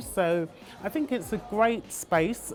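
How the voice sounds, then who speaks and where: A woman speaks with music in the background. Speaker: magazine publisher and editor. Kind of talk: interview answer. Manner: soft-spoken.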